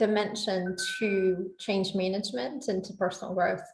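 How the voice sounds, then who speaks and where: With a Southern US accent, a woman is talking. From US South. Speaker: legal operations executive. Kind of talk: interview.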